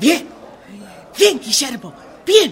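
A woman's put-on character voice, high-pitched with big pitch swings at a slow pace, over faint crowd noise in the background

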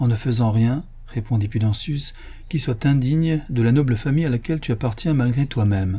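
A passage read aloud in a natural voice

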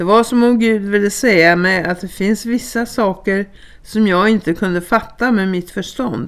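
A natural voice reading aloud

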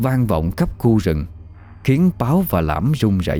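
This is a natural reading voice. The clip stays a natural reading voice throughout.

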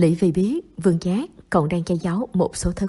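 Someone is reading aloud in a natural voice, with ordinary pitch variation.

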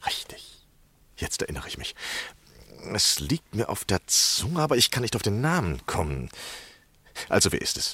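A man's put-on character voice, fairly low in pitch with very wide pitch swings, bright and sharp with a slightly husky edge, at a moderate pace with long, frequent pauses.

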